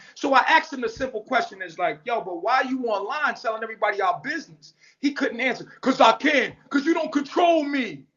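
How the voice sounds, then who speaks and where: A loud man with an extremely high pitch, lively intonation, a fairly quick pace and hardly any pauses. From New York. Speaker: social media commentator. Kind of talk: livestream rant. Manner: blunt, forceful.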